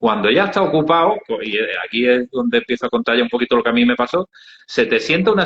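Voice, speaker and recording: A man with an Andalusian accent races along at a very fast pace with very wide pitch swings. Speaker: NGO founder. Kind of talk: interview storytelling. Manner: hesitant, many fillers.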